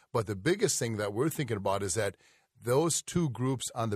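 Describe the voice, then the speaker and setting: A somewhat breathy man's voice at medium pitch with ordinary pitch variation, dry and close with no echo, in a very clean recording with a silent background. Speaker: nutrition company co-owner and speaker.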